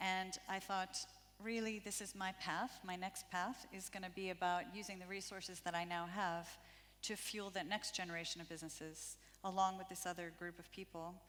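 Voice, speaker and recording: A woman with an American accent speaks at a moderate pace in a medium pitch with monotone, flat intonation. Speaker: impact investor. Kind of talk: conference panel talk. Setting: stage with audience.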